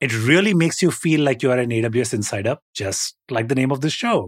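Heard in a normal speaking voice at a moderate pace with lively intonation, the speech has a dry, close sound with no echo on a very clean recording with a silent background. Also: man. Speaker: podcast co-host.

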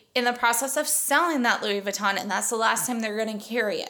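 A woman with a fairly high pitch and a normal speaking voice. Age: 40s. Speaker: podcast host. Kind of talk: casual chat.

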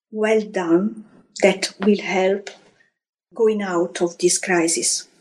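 Speaking very slowly in an Italian accent, a woman uses ordinary pitch variation. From Italy, Florence. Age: 50s. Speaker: hotel housekeeping professional. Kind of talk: interview. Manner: halting, non-native phrasing.

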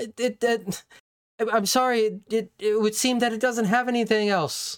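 In a put-on character voice, a female-sounding speaker squeaks along at a moderate pace, pitched fairly high. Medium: actual play. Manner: stammering, panicky.

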